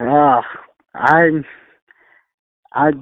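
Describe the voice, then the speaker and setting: A man's fairly high voice with an American accent. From Texas, East Bernard. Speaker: country singer-songwriter. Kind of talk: interview. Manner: hesitant, many fillers.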